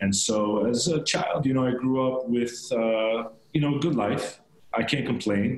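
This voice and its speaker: Over noticeable background noise, a man with an American accent talks at a moderate pace and medium pitch. His intonation is fairly even and his loudness very even. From Long Island, New York. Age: 40s. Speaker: real estate broker. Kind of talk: interview.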